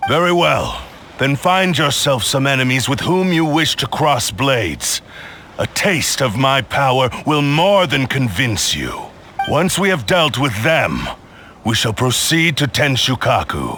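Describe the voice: Putting on a character voice, a man speaks at a medium pitch and a fairly slow pace, his bright, sharp tone making big pitch swings over faint background noise.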